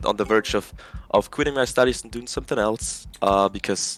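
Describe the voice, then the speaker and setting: A man's fairly low voice in a German accent, with fairly even intonation. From Germany, Berlin. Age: 20s. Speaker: video game player. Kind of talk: casual chat. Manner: halting.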